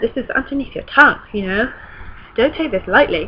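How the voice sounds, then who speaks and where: Over noticeable background noise, a woman speaks with a British accent. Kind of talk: casual talk to camera.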